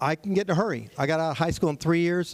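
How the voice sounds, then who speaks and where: With a Texan accent, a man talks at a fairly quick pace with ordinary pitch variation. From Texas, San Antonio area. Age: 60s. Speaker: property tax consultant. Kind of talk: seminar presentation. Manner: fast.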